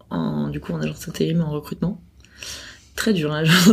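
Noticeable background noise sits behind the recording. A woman talks at a moderate pace. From Paris. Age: 30s. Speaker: head of talent. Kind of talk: casual interview. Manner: hesitant, many fillers.

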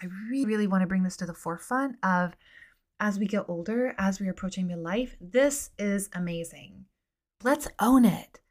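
At a moderate pace, a woman with a medium pitch speaks in an animated, somewhat breathy tone with lively intonation. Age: 40s. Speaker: podcast host and midlife coach. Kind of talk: casual monologue.

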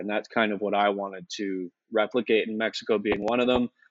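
Fairly quick and fairly low-pitched for a man, this is an ordinary speaking voice from a man with fairly even intonation. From Canada. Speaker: crypto investor and digital nomad. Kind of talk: casual interview chat.

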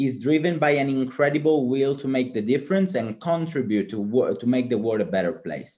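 Against a quiet background, a man with an Italian accent talks at a moderate pace, his fairly high voice dark and mellow in tone. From Italy (Palermo, Sicily). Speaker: student podcast co-host. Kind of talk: casual interview.

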